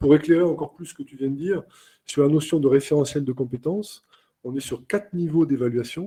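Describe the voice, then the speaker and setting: The voice has a dark, mellow tone, somewhat breathy, with ordinary pitch variation. It moves at a fairly quick pace with big swings in loudness. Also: man, fairly high pitch for a man. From southern France, Carcassonne. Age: 50s. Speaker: airline captain and trainer. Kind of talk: webinar interview. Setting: online webinar.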